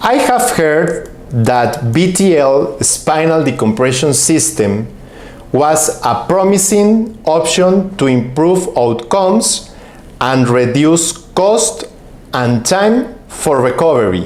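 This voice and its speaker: A man's fairly high voice at a very slow pace, with very wide pitch swings and very even loudness, amid noticeable background noise and audible room echo. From Mexico. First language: Spanish. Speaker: physician and professor. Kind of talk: conference presentation. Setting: online symposium. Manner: formal.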